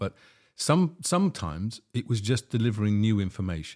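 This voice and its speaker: A man of fairly low pitch and an unremarkable speaking voice keeps a moderate pace, captured on a very clean recording against a silent background. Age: 60s. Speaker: podcast host and documentary film maker. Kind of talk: casual chat.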